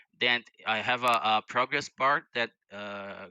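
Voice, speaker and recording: Speaking with a non-native accent, a man uses a bright, sharp tone and fairly even intonation, the sound dry with no echo against a quiet background. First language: not English. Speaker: viewer calling in to demo a script; guest. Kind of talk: casual tech demo. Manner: halting, many repeated words. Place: home room. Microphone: headset.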